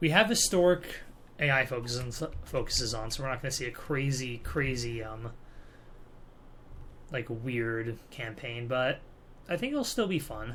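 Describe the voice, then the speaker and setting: Soft-spoken and with an American accent, the speaker moves at a moderate pace with ordinary pitch variation and long, frequent pauses. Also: man, medium pitch for a man. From California, US. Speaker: gaming YouTuber. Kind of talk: let's play commentary. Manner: casual, hesitant with fillers.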